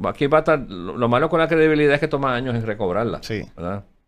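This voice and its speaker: In a very clean recording with a silent background, a man with a normal speaking voice talks at a fairly high pitch with lively intonation. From Puerto Rico. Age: 60s. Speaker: former finance secretary and Senate candidate. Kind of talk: interview.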